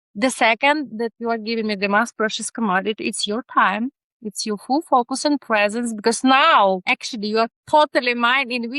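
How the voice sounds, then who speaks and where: In a Ukrainian accent, a woman with a fairly high, bright and sharp voice speaks at a fairly quick pace with ordinary pitch variation, the sound dry and close with no echo. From Ukraine. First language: not English. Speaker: neurodiversity researcher. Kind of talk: podcast interview. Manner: animated; halting.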